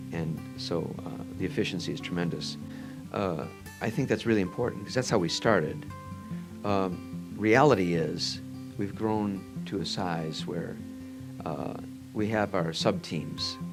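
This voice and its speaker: A soft-spoken man with an American accent, very deep and low with very wide pitch swings and long, frequent pauses, music in the background. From Northwest Indiana. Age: old. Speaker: orthopedic surgeon. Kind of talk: interview answer.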